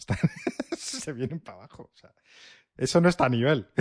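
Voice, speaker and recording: A man speaks against a quiet background. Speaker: tech podcast co-host. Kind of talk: casual chat.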